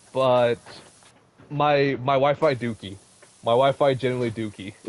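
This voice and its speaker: A man at a moderate pace with fairly even intonation amid noticeable background noise. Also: medium pitch for a man. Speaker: gaming streamer. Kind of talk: casual chat.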